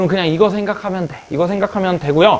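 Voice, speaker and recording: A man's voice, high in pitch. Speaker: math teacher. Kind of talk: lecture. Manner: fast.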